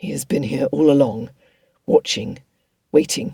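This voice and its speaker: A man puts on a raspy character voice with a fairly high pitch. His intonation is lively and his pace moderate. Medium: read story. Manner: calm, controlled.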